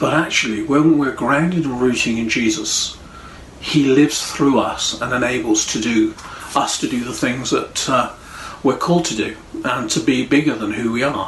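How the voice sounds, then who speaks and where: Speaking with an English accent, a man uses a medium pitch and ordinary pitch variation. Audible room echo and noticeable background noise come through. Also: moderate pace. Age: 60s. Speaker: pastor. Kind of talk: sermon. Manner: halting.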